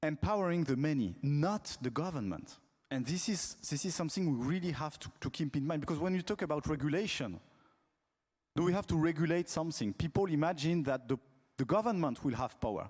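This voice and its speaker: Against a quiet background, a man with a French accent talks at a fairly quick pace with a fairly high pitch and lively intonation. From France. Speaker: telecom regulator, conference panelist. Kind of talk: panel talk. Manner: halting, frequent fillers and repetitions.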